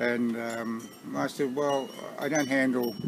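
A man talks through loud background noise, the sound dry with no echo. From Australia. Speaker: vlogger. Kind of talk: casual talk to camera. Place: garden. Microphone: phone near.

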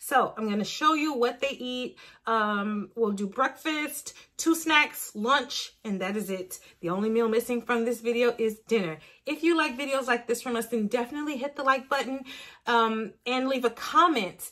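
Here a woman talks in a bright, sharp tone at a high pitch. Her pace is moderate, and her pitch varies in an ordinary way. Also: quiet background. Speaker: parent vlogger. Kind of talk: casual vlog chat. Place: home room. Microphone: phone near.

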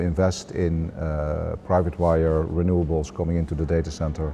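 A man speaks at a very deep, low pitch. There is light background noise. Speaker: interviewee. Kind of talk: interview answer. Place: hall. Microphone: lapel.

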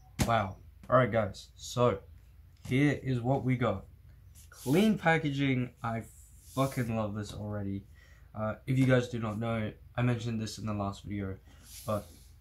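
A man talks at a moderate pace and medium pitch, somewhat breathy, with ordinary pitch variation and long, frequent pauses. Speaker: vlogger. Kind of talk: casual vlog, unboxing.

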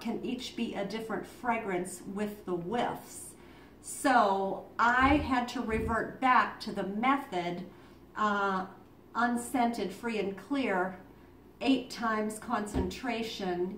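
A woman speaks at a very slow pace with ordinary pitch variation. Audible room echo and light background noise come through. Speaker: home business seller. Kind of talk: tutorial. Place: home room. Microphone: camera far.

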